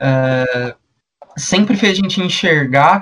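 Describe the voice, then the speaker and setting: A man talks in a normal speaking voice, pitched fairly high. His pitch varies in an ordinary way. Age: 20s. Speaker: podcast co-host. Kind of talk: podcast discussion.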